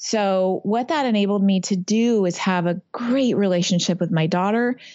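A woman with an American accent speaks at a medium pitch with ordinary pitch variation in a plain, everyday voice. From Northern California. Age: 50s. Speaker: masters rower. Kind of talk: interview.

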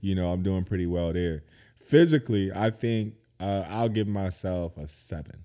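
With an American accent, a man with a very deep, low pitch and a dark, mellow tone speaks at a moderate pace with ordinary pitch variation in a very clean recording with a silent background. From South Carolina, Georgetown. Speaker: tech professional and entrepreneur. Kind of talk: casual chat.

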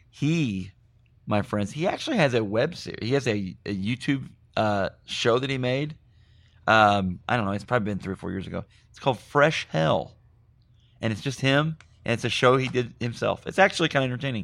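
Over a very clean recording with a silent background, a man talks at a medium pitch. His intonation is lively. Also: fairly quick pace. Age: 30s. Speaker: podcast host. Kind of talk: casual chat. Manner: animated.

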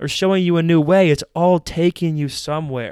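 A man with an American accent, fairly high-pitched, clear and smooth, at a moderate pace in a very clean recording with a silent background

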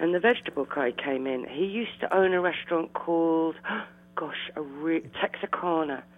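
A woman's fairly low voice with ordinary pitch variation, in a southern English accent. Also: moderate pace. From London (Eltham), England. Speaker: café owner. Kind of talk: interview. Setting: phone call. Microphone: landline telephone.

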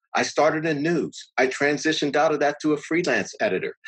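With an American accent and a plain, everyday voice, a man talks at a fairly high pitch and a fairly quick pace against a quiet background. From Pittsburgh, US. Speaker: television editor. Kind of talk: interview conversation.

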